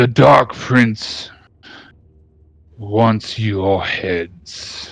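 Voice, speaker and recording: A man's put-on character voice with a fairly low pitch. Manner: shouting.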